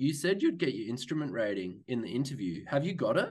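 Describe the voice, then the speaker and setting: With an Australian accent and vocal fry, a man talks at a fairly quick pace, his pitch swinging very widely. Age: 30s. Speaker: airline pilot. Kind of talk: casual chat.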